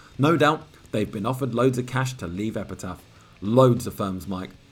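Somewhat breathy and at a medium pitch, a man speaks with a British accent and ordinary pitch variation. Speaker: podcast host. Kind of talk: reading magazine aloud with commentary.

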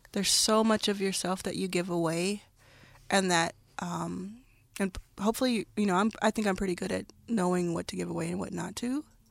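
A woman speaks with an unremarkable speaking voice at a medium pitch. Her pace is fairly quick, and her pitch variation is ordinary. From US South, Dallas, Texas. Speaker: venture capitalist. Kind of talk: interview.

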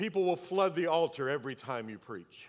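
A man with a fairly high pitch and lively intonation talks in an ordinary speaking voice. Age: 60s. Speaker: pastor. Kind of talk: sermon.

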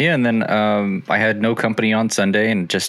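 A man speaks at a moderate pace. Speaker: podcast co-host. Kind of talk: casual chat.

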